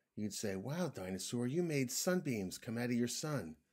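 The clip is an unforced reading voice. It is read aloud.

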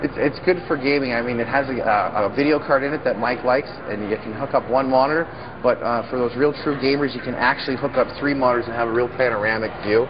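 A man talks at a very fast pace with fairly even intonation. Noticeable background noise runs behind him. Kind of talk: interview answer. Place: shop. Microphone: lapel.

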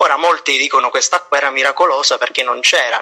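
A man speaks over noticeable background noise. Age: 20s. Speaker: prenovice in a religious order. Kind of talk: casual chat.

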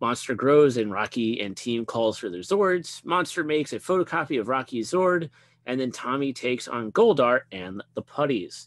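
At a moderate pace and with lively intonation, an unremarkable speaking voice comes through with a dry, close sound with no echo over a quiet background. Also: man, medium pitch for a man. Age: 30s. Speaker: podcast co-host. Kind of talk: casual chat.

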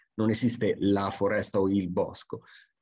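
A very slow pace against a quiet background. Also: man. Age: 50s. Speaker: forestry expert and lecturer; lecturer. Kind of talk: conference talk. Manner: hesitant with frequent fillers. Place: home room. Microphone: webcam.

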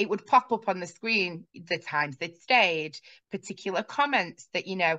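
A woman's lively intonation at a moderate pace, with a quiet background. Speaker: guest. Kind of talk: interview answer. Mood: friendly, engaged. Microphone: video call.

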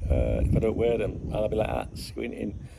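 The speech moves at a fairly quick pace amid noticeable background noise. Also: man. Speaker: football channel vlogger. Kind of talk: casual vlog chat. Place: garden. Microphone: phone near.

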